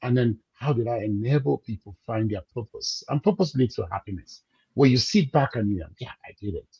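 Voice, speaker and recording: In a dark, mellow, somewhat breathy tone, a man speaks with lively intonation, the sound dry and close with no echo. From Cameroon. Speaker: business coach. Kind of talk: interview.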